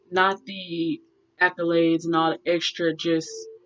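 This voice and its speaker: Music plays in the background as a woman speaks. Her fairly low voice moves at a very slow pace. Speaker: tarot reader. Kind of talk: tarot reading for a client.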